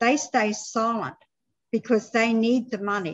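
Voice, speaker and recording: Over a quiet background, a woman speaks with an Australian accent. Her voice has a fairly high pitch and is somewhat breathy. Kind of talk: panel discussion. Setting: video call. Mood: earnest advocacy. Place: home room.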